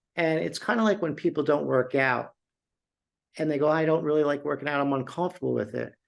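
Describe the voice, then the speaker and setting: Against a quiet background, a man talks with lively intonation at a fairly high pitch. He has a plain, everyday voice. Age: 60s. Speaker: beverage company CEO. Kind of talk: interview.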